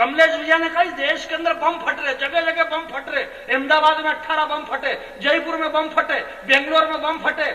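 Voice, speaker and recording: A man talks in a raised, projected voice at an extremely high pitch and a moderate pace. Noticeable background noise runs behind him. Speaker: comedic poet. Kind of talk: live comic poetry performance to audience.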